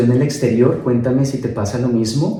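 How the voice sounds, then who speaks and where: A man with a medium pitch and a dark, mellow tone sounds somewhat breathy amid audible room echo. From Colombia, Bogotá. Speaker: migrant interviewee. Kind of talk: casual interview.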